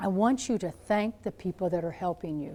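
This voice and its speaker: A woman speaks at a moderate pace with a dark, mellow tone and ordinary pitch variation. The recording is very clean, with a silent background. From Missouri. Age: 70s. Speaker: nun and nurse, motivational speaker. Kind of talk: motivational talk to students. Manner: animated, storytelling.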